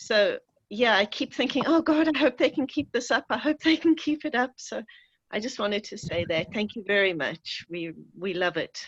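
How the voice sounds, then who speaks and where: A woman with a South African accent speaks at a moderate pace with a high pitch and very wide pitch swings, in a dry, close sound with no echo and a quiet background. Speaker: audience member on video call. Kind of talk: casual remarks in Q&A. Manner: halting, hesitant.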